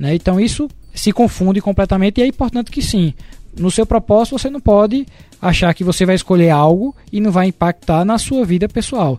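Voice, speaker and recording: Music plays in the background as a man talks. His high-pitched voice has lively intonation. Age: 30s. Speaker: business consultant, co-host. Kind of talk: casual chat.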